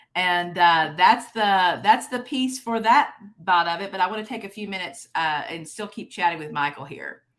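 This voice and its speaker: A woman with a Texas accent, medium pitch and lively intonation, at a moderate pace with hardly any pauses and big swings in loudness. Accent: Texas twang. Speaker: conference host and keynote speaker. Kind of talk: keynote presentation with interview. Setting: virtual conference.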